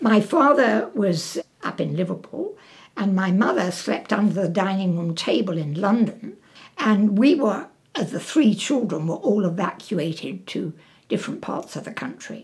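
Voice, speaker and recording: Somewhat breathy, a woman speaks at a moderate pace. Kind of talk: interview answer.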